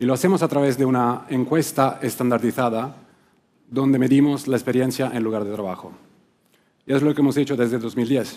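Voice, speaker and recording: A man talks at a fairly quick pace. His tone is dark and mellow, his intonation fairly even. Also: medium pitch for a man. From Italy, Rome. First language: Italian (speaking Spanish). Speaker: client service director at a workplace research firm. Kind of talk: conference talk. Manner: occasional hesitations and restarts.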